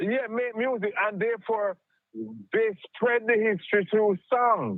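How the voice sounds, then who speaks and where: A man with a Jamaican accent talks at a fairly slow pace in a high pitch with fairly even intonation. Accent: Jamaican English with patois. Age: 70s. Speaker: caller. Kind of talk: phone-in discussion. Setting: phone call.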